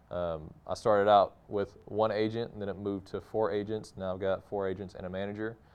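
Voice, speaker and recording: A man's fairly low voice with a slight Texas accent. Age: 30s. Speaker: actor. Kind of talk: interview monologue.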